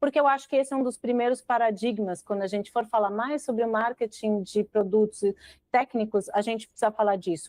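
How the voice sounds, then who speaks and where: A woman with a fairly high pitch and a dark, mellow tone speaks at a fairly quick pace. The sound is dry and close with no echo, over a quiet background. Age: 40s. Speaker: marketing director. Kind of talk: podcast interview.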